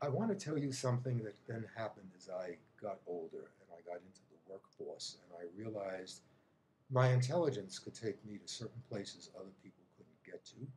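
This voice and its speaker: A somewhat breathy man at medium pitch, with lively intonation, a fairly quick pace and big swings in loudness. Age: 70s. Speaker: psychotherapist. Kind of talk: testimony.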